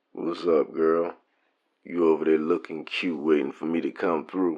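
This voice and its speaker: Putting on a character voice, a man speaks at a moderate pace in a raspy, very deep, low pitch with monotone, flat intonation. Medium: audio drama.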